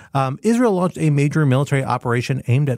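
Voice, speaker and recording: A man speaks at a very fast pace in a dark, mellow, somewhat breathy voice with ordinary pitch variation, recorded dry and close with no echo on a very clean track with a silent background. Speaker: national security podcast host. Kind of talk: casual panel discussion of news.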